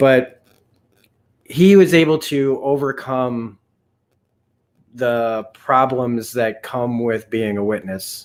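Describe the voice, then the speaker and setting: With long, frequent pauses, a man talks at a very slow pace, his medium pitch showing ordinary variation. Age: 40s. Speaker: YouTube channel host. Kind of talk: personal testimony. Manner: halting.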